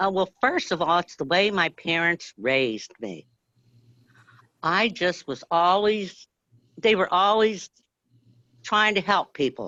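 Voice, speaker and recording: A woman talks loudly at a fairly slow pace, with long, frequent pauses, vocal fry, fairly low pitch and lively intonation. Her tone is bright and sharp, and the sound is dry and close with no echo against a quiet background. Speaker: grassroots activist. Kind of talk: casual chat. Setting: live video stream.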